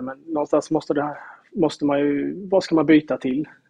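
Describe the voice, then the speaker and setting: Intonation fairly even, a man speaks at a very fast pace. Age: 40s. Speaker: salesman and amateur football club founder. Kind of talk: casual interview.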